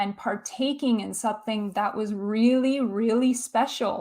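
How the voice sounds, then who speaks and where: A woman with a Canadian accent speaks at a fairly slow pace with ordinary pitch variation. The recording is very clean, with a silent background. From Canada. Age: 30s. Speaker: film YouTuber. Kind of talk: livestream chat reading viewer comments. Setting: livestream.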